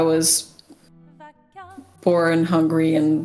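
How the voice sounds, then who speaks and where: A woman in a Portuguese accent at a very slow pace and fairly low pitch, with music in the background. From Portugal. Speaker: game developer and streamer. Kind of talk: casual podcast chat.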